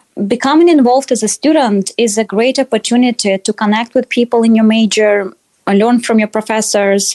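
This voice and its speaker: In a Russian accent, a woman speaks at a moderate pace and a fairly high pitch, her tone dark and mellow, her pitch varying in an ordinary way, and the sound dry and close with no echo. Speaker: dietetics student. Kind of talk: interview. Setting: podcast.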